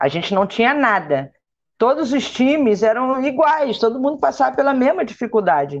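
With vocal fry and a fairly high pitch, a woman speaks at a moderate pace, her pitch swinging very widely while her loudness stays very even. The background is quiet. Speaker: former national team football player. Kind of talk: panel discussion on live stream.

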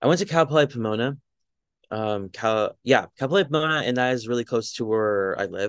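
An ordinary speaking voice with an American accent and lively intonation moves at a fairly quick pace, recorded dry and close with no echo against a quiet background. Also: man, medium pitch for a man. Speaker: mental health advocate. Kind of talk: casual interview.

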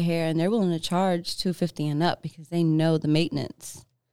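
A woman speaks with an American accent. Her pitch is fairly low and her intonation fairly even. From New York. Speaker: singer-songwriter. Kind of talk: casual chat. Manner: many fillers, hesitant.

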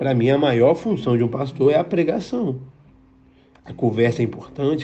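A man talks at a moderate pace and medium pitch, his intonation lively and his voice somewhat breathy. Audible room echo surrounds him. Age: 20s. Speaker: pastor. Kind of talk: sermon. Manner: halting.

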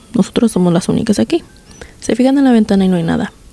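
The recording has a dry, close sound with no echo. A woman speaks at a medium pitch. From Mexico, Guanajuato. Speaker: podcast host. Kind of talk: storytelling. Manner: code-switching Spanglish.

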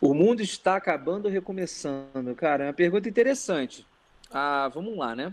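With a high pitch and lively intonation, a man talks at a fairly quick pace. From Rio de Janeiro city, Brazil. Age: 40s. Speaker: pastor. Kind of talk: casual chat.

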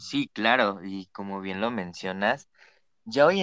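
At a fairly slow pace, a man with an unremarkable speaking voice talks with ordinary pitch variation, the sound dry and close with no echo against a quiet background. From Mexico, Naucalpan. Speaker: podcast co-host. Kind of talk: casual chat.

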